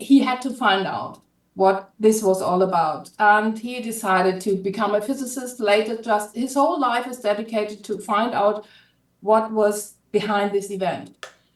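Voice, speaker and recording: In a German accent, a woman speaks at a moderate pace with a fairly high pitch and ordinary pitch variation. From Germany. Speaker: author. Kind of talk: casual pitch of own book on live stream. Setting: live video stream.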